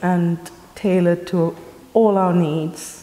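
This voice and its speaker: Noticeable noise fills the background. Through it, a woman speaks. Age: 60s. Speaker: community group member. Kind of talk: interview testimony.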